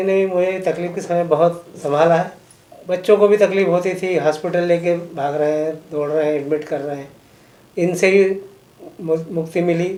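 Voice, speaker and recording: A man speaks at a high pitch. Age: 60s. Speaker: patient giving testimonial. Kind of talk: testimony.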